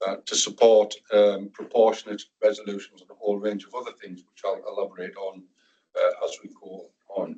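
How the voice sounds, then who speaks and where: Speaking with a northern English accent, a man shows big swings in loudness. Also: moderate pace. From northern England. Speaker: NHS security and violence reduction lead. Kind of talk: presentation to a board meeting.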